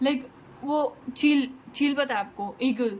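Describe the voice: Her high pitch carries ordinary pitch variation as this woman speaks at a slow pace.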